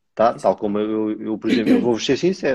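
A man talks at a very fast pace in a dark, mellow tone at a medium pitch. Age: 30s. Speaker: live stream host. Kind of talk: casual chat. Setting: live stream.

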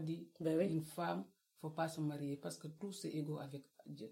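Her voice is very deep and low in pitch, somewhat breathy, with a dark, mellow tone. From West Africa. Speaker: book club guest. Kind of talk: casual chat.

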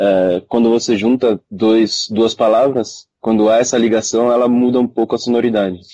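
A man's dark, mellow voice runs with hardly any pauses, fairly even intonation and very even loudness. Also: medium pitch for a man, moderate pace. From Brazil, son of Japanese parents. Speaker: kendo practitioner, podcast co-host. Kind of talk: casual chat.

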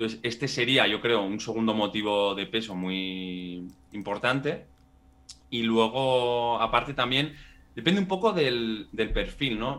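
This man's voice sits at a medium pitch with ordinary pitch variation. He talks at a very slow pace. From Spain, Pamplona (Navarre). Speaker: residency relocation consultant. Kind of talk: interview.

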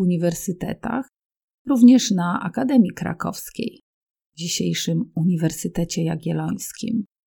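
A woman's fairly low, somewhat breathy voice, dark and mellow in tone, at a fairly slow pace with ordinary pitch variation. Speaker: Polish language teacher. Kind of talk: educational reading for language learners. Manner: clear, measured.

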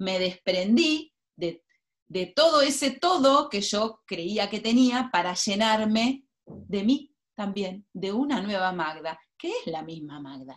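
Very slowly, a woman speaks at a medium pitch with very wide pitch swings and big swings in loudness. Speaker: writer and former journalist. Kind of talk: interview.

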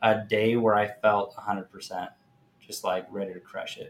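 At a moderate pace, a man talks in a fairly low pitch with little pitch movement.

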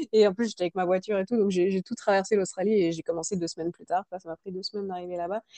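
The sound is dry and close with no echo as a woman talks at a very fast pace with hardly any pauses. Her tone is dark and mellow, her intonation fairly even, and her loudness swings widely. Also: medium pitch for a woman. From France. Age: 30s. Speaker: working holiday traveler. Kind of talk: interview testimony.

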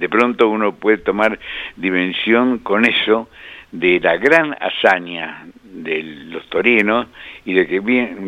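A man talks at a very slow pace. His pitch is fairly low, with ordinary variation. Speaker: motorsport engineer and commentator. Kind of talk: radio interview.

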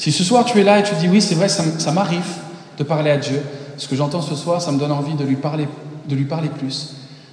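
Lively intonation marks this man's moderate-paced speech, heard with audible room echo and noticeable background noise. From France (Paris), American parents. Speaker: preacher. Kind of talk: sermon; prayer.

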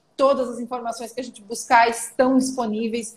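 High-pitched woman at a moderate pace. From Santa Catarina, southern Brazil. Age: 30s. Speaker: political journalist and commentator. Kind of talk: casual interview.

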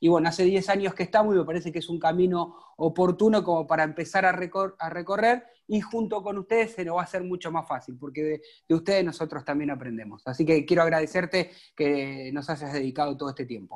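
Talking at a very fast pace, a man speaks with a high pitch. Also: ordinary pitch variation. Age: 40s. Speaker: podcast host. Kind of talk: interview.

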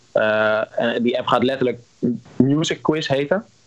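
A man talks at a fairly slow pace with a medium pitch. Noticeable background noise runs underneath. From Netherlands. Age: 20s. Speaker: musician. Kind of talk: interview. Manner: halting, many repetitions.

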